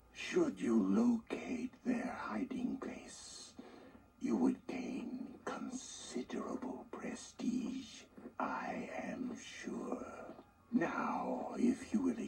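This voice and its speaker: The speaker puts on a character voice with a fairly high pitch and a very slow pace. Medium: video game. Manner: measured, formal.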